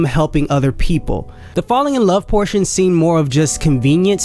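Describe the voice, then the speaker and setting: Music sits in the background. Over it, the intonation rises and falls in a lively way. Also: man. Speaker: movie reviewer. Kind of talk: casual movie review talk. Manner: fast.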